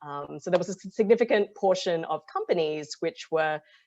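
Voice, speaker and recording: A woman with an Australian accent talks at a fairly quick pace. The background is quiet. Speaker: impact investor, fund partner. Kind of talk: webinar presentation. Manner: many filler ums.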